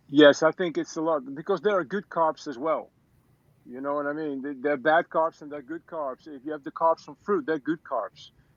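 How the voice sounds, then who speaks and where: A man with a fairly high pitch speaks over a quiet background, his loudness swinging widely. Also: moderate pace, dry, close sound with no echo. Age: 50s. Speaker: raw food coach. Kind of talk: casual chat. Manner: animated.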